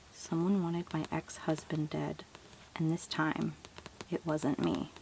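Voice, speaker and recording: Over noticeable background noise, a soft-spoken voice moves at a very slow pace with ordinary pitch variation. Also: woman. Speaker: asmr content creator, first-time. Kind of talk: asmr book show and tell. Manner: soft-spoken, calming.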